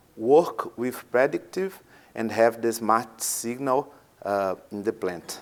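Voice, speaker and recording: A very slow delivery with ordinary pitch variation, in a Portuguese accent. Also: man, medium pitch for a man. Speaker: maintenance manager. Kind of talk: conference presentation. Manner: halting, many fillers.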